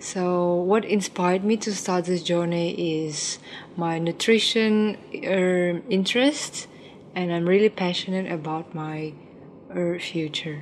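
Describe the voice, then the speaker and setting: Over noticeable background noise, a woman speaks at a very slow pace. Her pitch is fairly low, with ordinary variation. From Ukraine, Vietnamese parents. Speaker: plant-based food entrepreneur. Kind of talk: interview.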